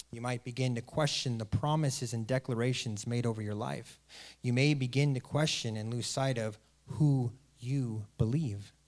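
In a plain, everyday voice, a man speaks at medium pitch and a moderate pace with fairly even intonation on a very clean recording with a silent background. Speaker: guest preacher. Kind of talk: sermon. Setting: church with live congregation. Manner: warm, earnest, rhetorical.

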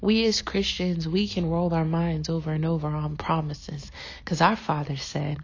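In a room with audible echo, a woman speaks at a fairly low pitch with fairly even intonation. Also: moderate pace. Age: 20s. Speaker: podcast host. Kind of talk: devotional teaching.

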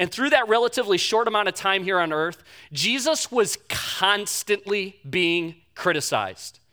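Raising and projecting his voice, a high-pitched man speaks in a bright, sharp tone with lively intonation. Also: moderate pace, very clean recording, silent background. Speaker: pastor. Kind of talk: sermon. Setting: church. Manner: halting.

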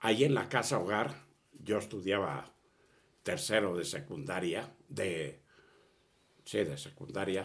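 A man speaks very slowly in a very deep, low pitch, with lively intonation and long, frequent pauses. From Spain (Catalonia, near Barcelona). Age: 80s+. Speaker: refugee of the Spanish Civil War, elderly father. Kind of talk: personal testimony in an interview. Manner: halting with repetitions.

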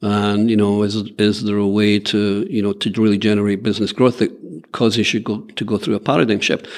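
A man with an American accent talks at a fairly quick pace with hardly any pauses, his fairly low voice held to a fairly even intonation. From Scotland. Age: 60s. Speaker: business executive. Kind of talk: interview.

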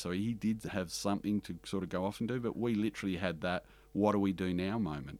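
An Australian accent at a very fast pace, on a very clean recording with a silent background. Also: man. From Western Australia, country town. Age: 50s. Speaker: bookkeeping business owner. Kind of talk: interview conversation. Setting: studio in Melbourne. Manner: animated, talks with hands.

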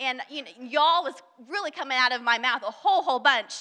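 A woman with an American accent uses a raised, projected voice. Her pitch swings very widely at a fairly quick pace. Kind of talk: devotional talk.

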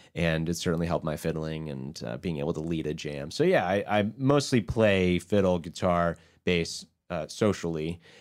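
A man with an American accent and a very deep, low pitch, with ordinary pitch variation. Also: moderate pace. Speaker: folk musician. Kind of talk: interview.

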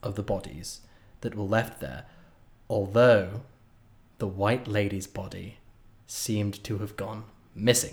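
Speaking at a fairly slow pace, a man with a British accent has a fairly low, somewhat breathy voice and ordinary pitch variation. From Britain. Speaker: podcast co-host. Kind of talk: casual chat.

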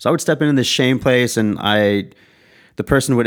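A man talks fairly quickly with an American accent and ordinary pitch variation. He has an ordinary speaking voice. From US Southwest, Tucson, Arizona. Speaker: podcast host and sports dietitian. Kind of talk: casual chat.

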